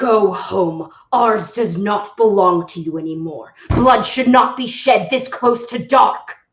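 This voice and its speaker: A booming, put-on character voice at a fairly high pitch moves at a fairly slow pace with hardly any pauses. A slight echo hangs on the sound. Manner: commanding, intimidating.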